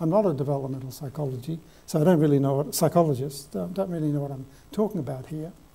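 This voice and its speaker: A man with an Australian accent talks at a very fast pace in a fairly high, somewhat breathy voice with a dark, mellow tone. His pitch varies in an ordinary way, and the room echo is audible. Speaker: professor. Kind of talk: lecture. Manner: halting.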